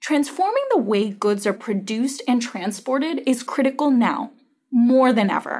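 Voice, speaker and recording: A woman speaks at a moderate pace with lively intonation, in an ordinary speaking voice. The recording is very clean, with a silent background. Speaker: investment strategist. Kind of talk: podcast interview.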